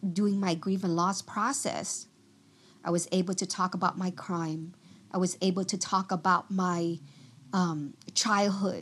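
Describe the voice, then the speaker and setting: A woman speaks in a Vietnamese accent at a fairly slow pace. Her intonation is fairly even, with long, frequent pauses. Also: medium pitch for a woman. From Vietnam, moved to US near age ten. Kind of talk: testimony.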